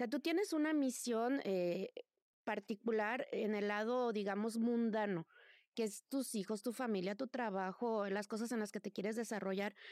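A woman with a plain, everyday voice speaks at a moderate pace in a fairly high pitch with ordinary pitch variation. The recording is very clean, with a silent background and a dry, close sound with no echo. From Mexico. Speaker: tarot reader and witch. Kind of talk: casual interview chat.

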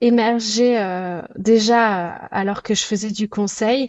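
A woman talks with fairly even intonation. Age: 30s. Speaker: chef and restaurant owner. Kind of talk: interview. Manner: hesitant, many fillers.

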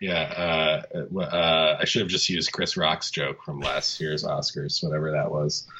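A man at a fairly slow pace with hardly any pauses, over noticeable background noise. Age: 30s. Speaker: film podcast co-host. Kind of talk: casual chat.

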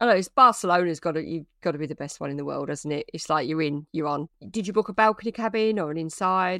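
Very fast and with lively intonation, a woman with a British accent speaks in a fairly low, bright, sharp voice, the sound dry and close with no echo against a quiet background. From Britain. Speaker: travel blogger and podcast co-host. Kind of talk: casual chat.

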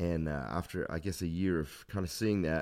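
A man with an Australian accent, very deep and low in pitch, at a fairly quick pace with fairly even intonation, in a very clean recording over a silent background. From Australia, Adelaide. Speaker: pastor. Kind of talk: interview.

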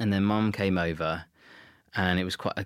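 On a very clean recording with a silent background, a man with a southern English accent speaks. His pace is moderate and his intonation monotone and flat. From Southeast England (Kent). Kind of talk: casual interview.

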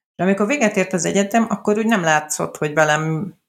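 Lively intonation marks this woman's medium-pitched voice, an unremarkable speaking voice. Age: 40s. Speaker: journalist and adoption blogger. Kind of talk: interview.

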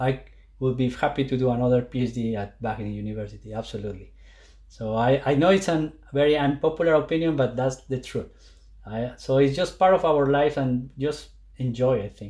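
A man with a Colombian accent, medium pitch and ordinary pitch variation, a dark, mellow, somewhat breathy tone, at a fairly quick pace against a quiet background. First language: Spanish. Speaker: plant scientist. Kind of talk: interview. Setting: video call. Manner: halting.

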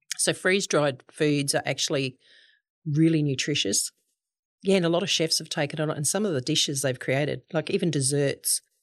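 Speaking fairly quickly with an Australian accent, a woman uses a very deep, low pitch and ordinary pitch variation. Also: very clean recording, silent background. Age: 60s. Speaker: goat farmer and cheesemaker. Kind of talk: casual interview.

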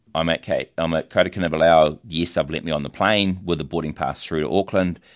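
A man's very deep, low voice with vocal fry, a New Zealand accent, fairly even intonation and a fairly quick pace, on a very clean recording with a silent background. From New Zealand, Tauranga area. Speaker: dive shop owner. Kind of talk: interview. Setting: studio.

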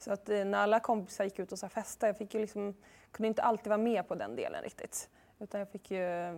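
A woman speaks very fast at a medium pitch with fairly even intonation. The recording is very clean, with a silent background. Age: 30s. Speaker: author and journalist. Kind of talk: interview.

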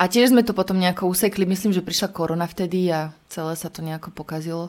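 Talking at a very fast pace, a woman speaks at medium pitch with ordinary pitch variation, in a very clean recording with a silent background. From Slovakia, Prievidza. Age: 30s. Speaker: poet and radio presenter. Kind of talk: casual interview.

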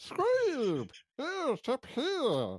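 High pitch in a put-on character voice. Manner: excited, calling out.

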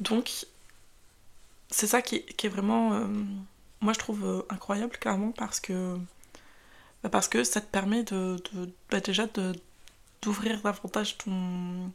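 Speaking at a very slow pace with long, frequent pauses, a woman uses a medium pitch with ordinary pitch variation. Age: 20s. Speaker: podcast host. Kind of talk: casual monologue. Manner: hesitant, many fillers.

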